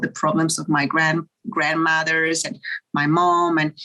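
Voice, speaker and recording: A woman speaks with a fairly low pitch and a Spanish accent. Her tone is bright and sharp. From Mexico. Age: 60s. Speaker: pathologist. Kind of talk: interview.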